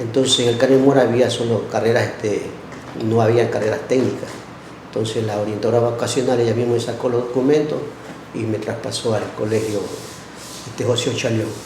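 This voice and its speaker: A man speaks at a medium pitch and a fairly quick pace in a monotone, flat intonation, with long, frequent pauses. Noticeable background noise and audible room echo are present. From Ecuador, El Oro (Pasaje). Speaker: teacher. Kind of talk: podcast interview, life story.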